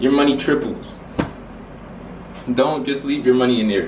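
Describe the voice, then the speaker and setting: Over noticeable background noise and audible room echo, a man speaks at a moderate pace and medium pitch. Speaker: YouTuber. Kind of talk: casual vlog explainer. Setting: filmed with laptop camera. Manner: stutter; halting.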